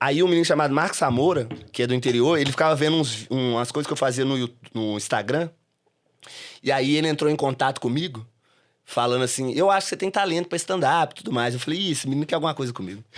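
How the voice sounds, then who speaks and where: On a very clean recording with a silent background, a man speaks at a very fast pace in a fairly high pitch with ordinary pitch variation. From Brazil, Belo Horizonte (Minas Gerais). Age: 30s. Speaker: comedy club owner and stand-up comedian. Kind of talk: podcast interview. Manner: casual, hesitant with repetitions.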